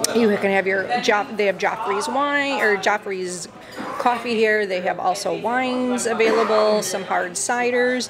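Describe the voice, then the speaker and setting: Noticeable background noise runs behind a woman whose pitch varies in an ordinary way. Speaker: vlogger. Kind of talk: casual vlog chat. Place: cafe.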